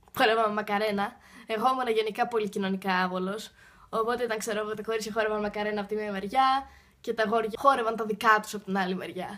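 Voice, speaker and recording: Very fast and bright, sharp in tone, a woman with a fairly high pitch speaks in a monotone, flat way on a very clean recording with a silent background. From Greece. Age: young. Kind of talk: casual Q&A talk to camera.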